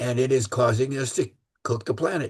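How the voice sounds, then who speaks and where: Somewhat breathy and medium in pitch, a man's voice moves at a moderate pace. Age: 80s+. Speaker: transit planning expert. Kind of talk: speech to a club meeting. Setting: meeting room with audience. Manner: halting, many fillers and repeats.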